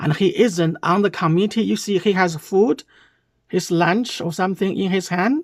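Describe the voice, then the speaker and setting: A speaker with a Chinese accent is heard in a very clean recording with a silent background. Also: woman. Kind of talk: commentary on a reaction video.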